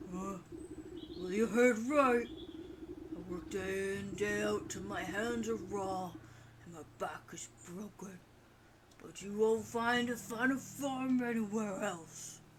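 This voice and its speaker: Over clear background noise, a man uses a put-on character voice pitched high, speaking at a fairly slow pace. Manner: weary, proud.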